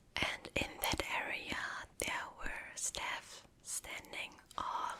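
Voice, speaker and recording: Very slowly, a woman speaks in a whisper. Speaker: ASMR creator. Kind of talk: casual talk to camera. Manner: soft-spoken, whispering.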